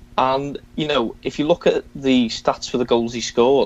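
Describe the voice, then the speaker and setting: A man speaks with a Liverpool accent at a medium pitch. His intonation is fairly even and his pace moderate. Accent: Scouse. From Liverpool, England. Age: 20s. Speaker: football fan and podcaster. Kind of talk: casual chat.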